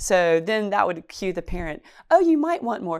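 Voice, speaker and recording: A woman with a North Carolina accent on a very clean recording against a silent background. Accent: North Carolina Southern. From Chatham County, North Carolina. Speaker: oral history interviewee. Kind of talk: interview.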